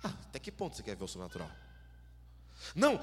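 A man's animated voice over noticeable background noise. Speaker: preacher. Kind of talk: sermon. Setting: church. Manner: animated, exhorting the congregation with fervent, rhythmic preaching; interactive, asks audience to shout along.

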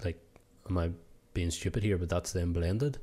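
This man has a very deep, low pitch and a dark, mellow tone that is somewhat breathy. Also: very clean recording, silent background. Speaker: podcast co-host. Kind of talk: casual chat.

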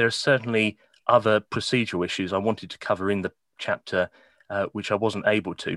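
A man's fairly low voice in a southern English accent, dry and close with no echo. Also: quiet background. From England, Kent. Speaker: law lecturer. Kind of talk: interview.

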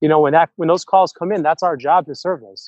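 The sound is dry and close, with no echo. A man speaks in a fairly high pitch. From Rochester, New York. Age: 30s. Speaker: city council member. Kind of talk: casual interview.

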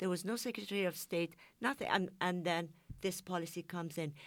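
A woman with a Persian accent is heard on a very clean recording with a silent background. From Iran. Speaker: journalist. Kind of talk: panel discussion. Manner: halting.

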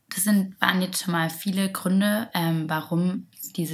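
A woman with a somewhat breathy, medium-pitched voice speaks at a moderate pace with fairly even intonation. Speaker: podcast co-host. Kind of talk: casual chat about sustainable fashion.

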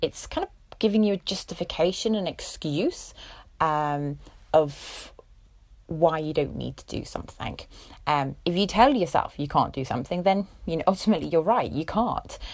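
In a very clean recording with a silent background, a woman with a fairly low pitch and vocal fry speaks at a moderate pace, her loudness swinging widely. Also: ordinary pitch variation. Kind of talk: talk to listeners.

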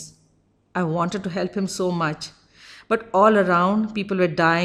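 Intonation here is fairly even. The delivery is a natural reading voice.

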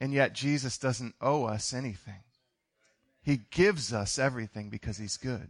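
A man at a medium pitch, animated in tone, at a moderate pace against a quiet background. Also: ordinary pitch variation. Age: 40s. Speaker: pastor. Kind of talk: sermon. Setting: church.

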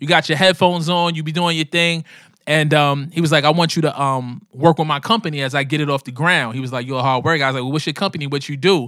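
With a Brooklyn accent, a man talks at a very fast pace in a fairly high pitch and a bright, sharp tone, his intonation fairly even, on a very clean recording with a silent background. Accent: New York, Brooklyn. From New York City, Brooklyn (Coney Island). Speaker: rapper. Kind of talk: casual interview.

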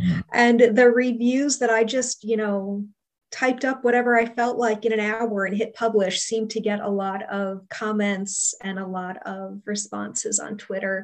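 Speaking in a normal speaking voice, a woman keeps a moderate pace, her fairly high pitch held in fairly even intonation. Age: 40s. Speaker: book reviewer and podcaster. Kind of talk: casual interview.

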